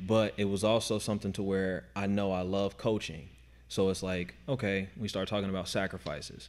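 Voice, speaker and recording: Fairly low in pitch, a man with an ordinary speaking voice talks at a fairly quick pace with fairly even intonation. The recording is very clean, with a silent background. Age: 30s. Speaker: CrossFit coach. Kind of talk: casual chat.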